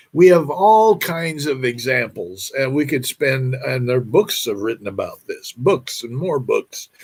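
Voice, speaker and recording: His fairly high pitch carries lively intonation and a somewhat breathy quality. The man moves at a fairly slow pace with hardly any pauses. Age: 80s+. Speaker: vlogger giving financial advice. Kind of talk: monologue to camera. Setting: at home. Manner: halting.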